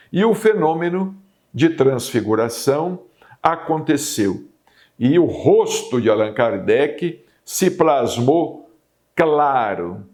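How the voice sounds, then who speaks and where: At a very slow pace with long, frequent pauses, a man speaks at a fairly high pitch with lively intonation and vocal fry. His loudness stays very even in a very clean recording with a silent background. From Brazil, Minas Gerais (Uberaba). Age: 60s. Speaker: spiritist TV program host and medium. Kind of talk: spiritual talk / monologue.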